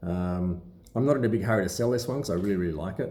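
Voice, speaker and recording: A man's mumbling at a very fast pace, with an Australian accent, a dark, mellow tone and ordinary pitch variation, plus audible room echo. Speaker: watch collector and seller. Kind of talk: casual vlog talk to camera. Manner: halting with many fillers.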